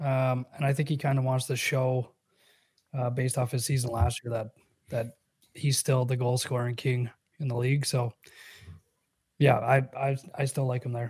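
With a Canadian accent, a man speaks at a moderate pace and a medium pitch, somewhat breathy. His intonation is flat and monotone, broken by long, frequent pauses. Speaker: sports radio co-host. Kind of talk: casual chat.

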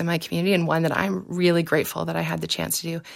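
A woman speaks with a Canadian accent. Her pitch is fairly low, with vocal fry. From southwestern Ontario, Canada. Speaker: political scientist and former election candidate. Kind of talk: interview.

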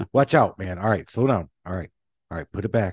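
With an energetic tone and very wide pitch swings, a man talks at a fairly quick pace in a dry, close sound with no echo. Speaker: podcast host. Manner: fast talker; energetic, excitable.

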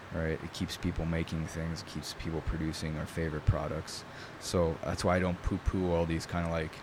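Fairly quick and monotone, a man speaks with flat intonation in a very deep, low pitch. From New York. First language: Italian. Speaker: bladesmith. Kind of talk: casual interview. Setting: in person.

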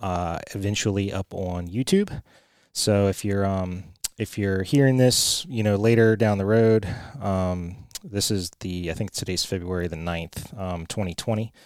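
With an American accent, this voice moves at a moderate pace and keeps its intonation fairly even, recorded very cleanly against a silent background. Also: man. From rural central Virginia. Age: 30s. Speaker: podcast host. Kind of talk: solo podcast monologue. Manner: halting, many fillers.

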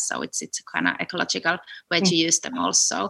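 A woman speaks with a Finnish accent. The recording is dry and close, with no echo. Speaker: food entrepreneur, food scientist. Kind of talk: interview. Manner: halting, repeats words.

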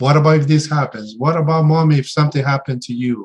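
In a Spanish accent, a man says his lines. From Mexico. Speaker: therapist. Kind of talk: interview. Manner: hesitant, many fillers.

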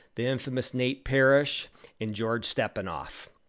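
A man with a normal speaking voice talks at a medium pitch with ordinary pitch variation on a very clean recording with a silent background. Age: 40s. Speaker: podcast host. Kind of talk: scripted narration; interview.

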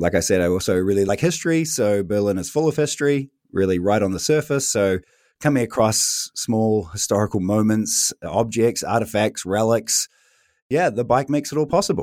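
In a very clean recording with a silent background, a man with a New Zealand accent talks at a moderate pace. His intonation is lively while his loudness stays very even. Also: medium pitch for a man. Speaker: head of internal communications. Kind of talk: interview.

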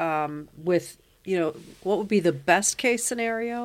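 A woman with an American accent has a plain, everyday voice and lively intonation, speaking at a fairly slow pace. The recording is very clean, with a silent background. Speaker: podcast host and parent. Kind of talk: casual family conversation.

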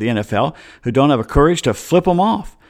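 A man with an American accent speaks at a fairly high pitch with very wide pitch swings. The recording is very clean, with a silent background. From US South, Atlanta. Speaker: sports podcast host. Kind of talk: casual sports talk monologue. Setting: home studio, solo microphone.

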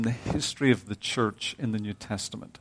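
A man with a Northern Irish accent at a moderate pace. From Northern Ireland. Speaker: visiting preacher. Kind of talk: sermon. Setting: church.

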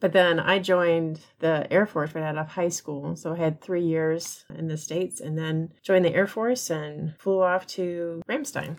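An unremarkable speaking voice from a woman, fairly low in pitch, at a fairly slow pace with hardly any pauses and fairly even intonation. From US, moved around (army family). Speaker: librarian. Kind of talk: casual chat.

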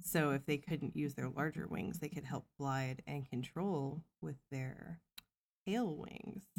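A woman with an American accent speaks very slowly in a very deep, low voice, with vocal fry and lively intonation. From US Midwest, Missouri. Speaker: podcast co-host. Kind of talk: casual chat. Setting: home recording.

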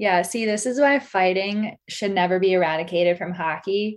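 A woman talks at a fairly quick pace in a plain, everyday voice against a quiet background. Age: 20s. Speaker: podcast host. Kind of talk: casual chat.

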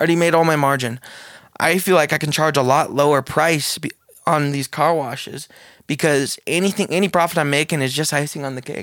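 A man with an ordinary speaking voice, fairly high pitch, fairly even intonation and a fairly quick pace. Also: very clean recording, silent background. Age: 20s. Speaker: entrepreneur. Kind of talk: casual chat.

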